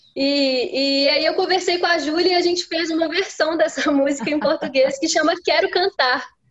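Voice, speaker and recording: There is noticeable background noise. Over it, a woman talks at a moderate pace in a high voice. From Minas Gerais, Brazil. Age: young. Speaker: singer-songwriter. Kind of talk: interview. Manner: halting.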